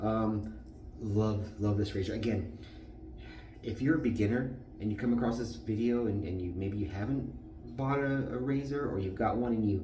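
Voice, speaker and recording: Noticeable background noise and audible room echo surround a man with a fairly low pitch. He talks at a moderate pace with ordinary pitch variation. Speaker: shaving video creator. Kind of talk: tutorial.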